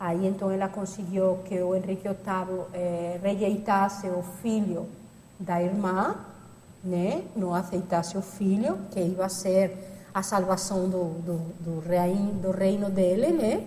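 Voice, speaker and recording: The voice is dark and mellow, somewhat breathy, and flat and monotone, moving at a very slow pace with audible room echo. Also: woman, medium pitch for a woman. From Catalonia, Spain (Barcelona). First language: Spanish or Catalan (speaking Portuguese). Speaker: lecturer, researcher. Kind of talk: lecture.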